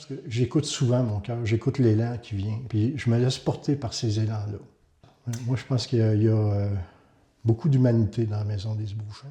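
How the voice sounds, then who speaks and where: A man talks at a moderate pace, his medium pitch and fairly even intonation delivered in an ordinary speaking voice. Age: 60s. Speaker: community housing director. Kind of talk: testimony.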